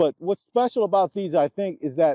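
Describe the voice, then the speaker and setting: A man talks at a fairly quick pace with lively intonation and a dark, mellow tone. The sound is dry and close, with no echo. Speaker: sports software business owner giving youth sports advice. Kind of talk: solo video talk to camera. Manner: fast; casual with filler words.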